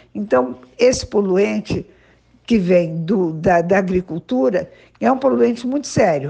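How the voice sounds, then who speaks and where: A woman's medium-pitched voice with a dark, mellow tone, at a fairly slow pace. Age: 70s. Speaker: veterinarian and municipal agriculture secretary. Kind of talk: interview. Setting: school radio podcast.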